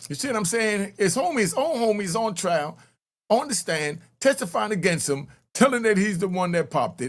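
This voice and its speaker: A man's high-pitched voice with very wide pitch swings, in a very clean recording with a silent background. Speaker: YouTube true crime commentator. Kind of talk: casual commentary. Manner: fast; animated.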